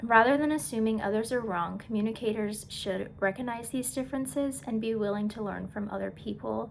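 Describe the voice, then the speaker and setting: This woman talks at a fairly quick pace with hardly any pauses. Her voice sits fairly high, with ordinary pitch variation. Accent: American. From USA. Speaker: student. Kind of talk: class presentation. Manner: halting.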